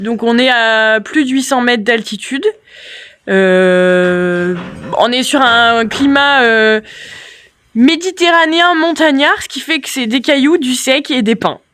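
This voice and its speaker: A woman talks very slowly in a high pitch with lively intonation. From France, Yonne near Auxerre. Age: 30s. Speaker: goat farmer. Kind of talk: casual Q&A chat. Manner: talkative, explains at length.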